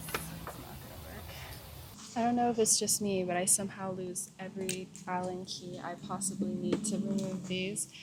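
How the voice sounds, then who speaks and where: Through audible room echo and noticeable background noise, a woman speaks at a moderate pace. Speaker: car DIY vlogger. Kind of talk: casual vlog tutorial. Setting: outdoors.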